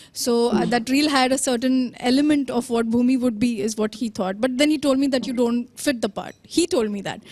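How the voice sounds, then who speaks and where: Over noticeable background noise, a woman with a high pitch and fairly even intonation talks at a fairly quick pace with hardly any pauses. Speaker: actress. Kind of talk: interview. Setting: video call.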